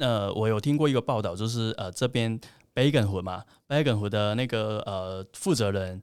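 A man with a Cantonese accent speaks at a fairly low pitch and a moderate pace with ordinary pitch variation. The recording is very clean, with a silent background. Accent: Cantonese-accented Mandarin. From Hong Kong. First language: Cantonese (speaking Chinese). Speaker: plant-based food company representative. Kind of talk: casual interview.

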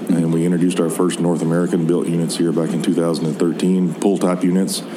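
A man's very deep, low voice at a fairly quick pace, with noticeable background noise. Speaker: product manager. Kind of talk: interview. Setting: trade show floor.

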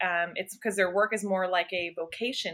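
Using a normal speaking voice, the woman keeps a moderate pace, her pitch varying in an ordinary way. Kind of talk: casual chat.

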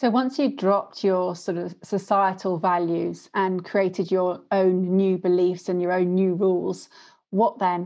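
A woman's medium-pitched voice with a British accent and fairly even intonation. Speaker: podcast host. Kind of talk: casual interview chat.

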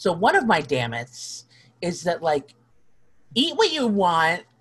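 Somewhat breathy and fairly slow, the voice swings very widely in pitch. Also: woman. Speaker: minister and Wiccan priestess. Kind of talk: casual interview chat. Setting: video call recording. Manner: animated, candid, laughs often.

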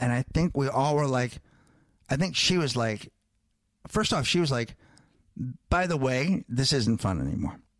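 A plain, everyday voice from a man, fairly high in pitch, at a moderate pace. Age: 40s. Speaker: comedian and podcaster. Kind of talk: casual chat.

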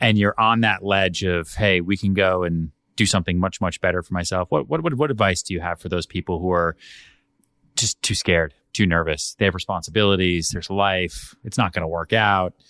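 A man talks at a fairly quick pace in a very deep, low pitch with a bright, sharp tone. The sound is dry and close, with no echo. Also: very clean recording, silent background. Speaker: podcast host. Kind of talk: interview. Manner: excited, enthusiastic.

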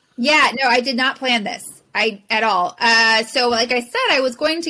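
A woman speaks in a high pitch with an American accent. Her tone is bright and sharp, and her pitch varies in an ordinary way. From Southern California. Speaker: professional organizer. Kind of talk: interview.

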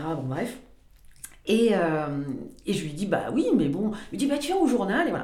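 This woman keeps a fairly slow pace, with audible room echo and noticeable background noise around her. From southwestern France, Pau. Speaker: motoring journalist. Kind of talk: casual chat.

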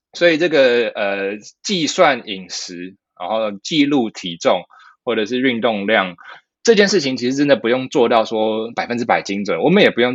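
This man has a normal speaking voice at a medium pitch, with lively intonation. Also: big swings in loudness. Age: 30s. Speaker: physician and fitness educator. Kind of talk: casual interview.

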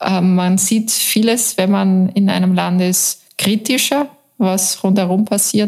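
A woman speaks at a very slow pace, her pitch medium and her intonation fairly even. Her loudness stays very even. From Upper Austria, Mühlviertel near Bavarian and Czech border. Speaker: journalist, newspaper deputy editor-in-chief. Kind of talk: interview.

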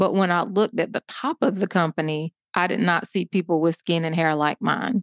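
An ordinary speaking voice from a woman, fairly low in pitch with ordinary variation, at a fairly quick pace, in a dry, close sound with no echo. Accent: American. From US South, southeast Georgia. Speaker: public health doctor and diversity consultant. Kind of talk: interview.

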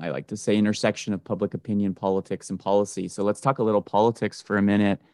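A man with an Ontario accent, fairly low pitch, fairly even intonation and a very fast pace, in a very clean recording with a silent background and a dry, close sound with no echo. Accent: Canadian (Ontario). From Canada, Toronto area. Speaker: podcast host and pollster. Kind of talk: interview.

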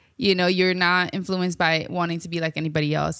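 A woman with a fairly low pitch, ordinary pitch variation and an unremarkable speaking voice talks over a very clean recording with a silent background. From Sierra Leone, raised in New York City. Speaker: podcast host. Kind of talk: casual interview. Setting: in-person recording.

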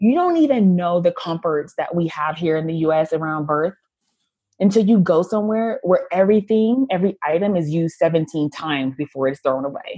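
A woman with an American accent at a fairly quick pace, her medium-pitched voice dark and mellow in tone, with lively intonation. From US. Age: 30s. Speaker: former doula, online shop owner. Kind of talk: casual interview chat.

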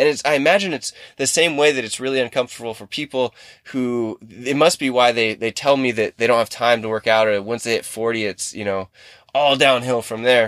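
A man speaks in a plain, everyday voice at medium pitch and a fairly quick pace, with ordinary pitch variation. The recording is very clean and dry, close with no echo, over a silent background. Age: 30s. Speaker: fitness podcast host and coach. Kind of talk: casual solo podcast monologue. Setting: in a car in a parking lot.

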